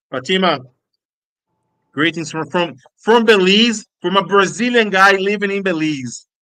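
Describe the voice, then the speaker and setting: A man's high, bright, sharp voice, raised and projected, at a fairly slow pace with ordinary pitch variation and long, frequent pauses. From Brazil, Pernambuco (Olinda). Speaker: podcast host interviewing a footballer. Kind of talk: live stream interview. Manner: halting, many fillers.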